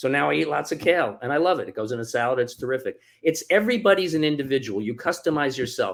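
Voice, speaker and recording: On a very clean recording with a silent background, a man talks at a fairly quick pace with vocal fry and very wide pitch swings. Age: 60s. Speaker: author. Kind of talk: interview.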